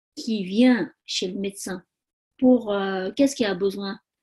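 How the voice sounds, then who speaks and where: With a Tibetan accent, a woman of medium pitch speaks with ordinary pitch variation. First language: Tibetan (speaking French). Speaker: spa owner and massage therapist. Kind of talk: interview conversation. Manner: halting.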